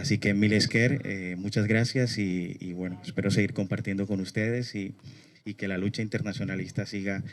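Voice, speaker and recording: Speaking at a moderate pace, this man has a fairly low pitch. His is an unremarkable speaking voice. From Colombia, Barranquilla. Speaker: human rights activist. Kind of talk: speech at a memorial event.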